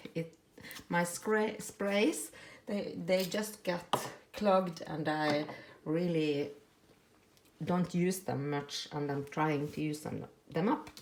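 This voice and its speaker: A woman talks at a very slow pace with long, frequent pauses, her pitch fairly low with ordinary variation, over noticeable background noise. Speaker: crafting youtuber. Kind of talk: tutorial. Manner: halting, many fillers.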